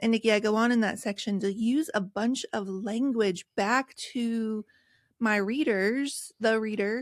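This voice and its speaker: Recorded very cleanly against a silent background with a dry, close sound and no echo, a woman with an American accent uses an unremarkable speaking voice, fairly high in pitch, at a fairly slow pace with fairly even intonation. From rural West Virginia. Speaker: author and podcast host. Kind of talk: interview.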